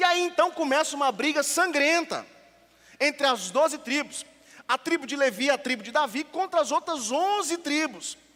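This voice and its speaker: Raised and projected, a man's extremely high, bright, sharp voice moves at a moderate pace with ordinary pitch variation. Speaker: pastor. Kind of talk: sermon.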